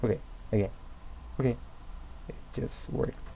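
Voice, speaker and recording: A man speaks with a non-native accent, his fairly low pitch moving in lively intonation. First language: not English. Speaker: game mod developer. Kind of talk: tutorial. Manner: halting, with many fillers.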